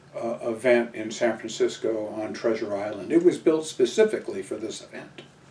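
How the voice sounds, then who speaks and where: A man with an American accent at a medium pitch, amid noticeable background noise. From Southern California. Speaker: military veteran. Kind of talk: oral history interview. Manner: halting, many fillers.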